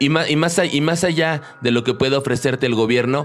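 A man with a normal speaking voice, ordinary pitch variation and a moderate pace. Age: 30s. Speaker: podcast host. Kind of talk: casual interview.

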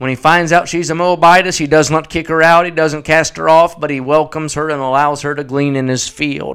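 The recording is very clean with a silent background. A man speaks at a fairly high pitch with ordinary pitch variation. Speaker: evangelist preacher. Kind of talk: sermon, preacher in full flow. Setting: radio broadcast. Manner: animated, emphatic, rhythmic pulpit delivery.

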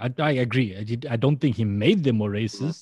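A somewhat breathy man's voice at medium pitch, with ordinary pitch variation over a quiet background. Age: 40s. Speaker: podcaster. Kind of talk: casual chat. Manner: animated.

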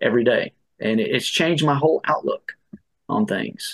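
A man at a fairly quick pace, the sound dry and close with no echo. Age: 50s. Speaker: ultrarunner. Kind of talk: interview.

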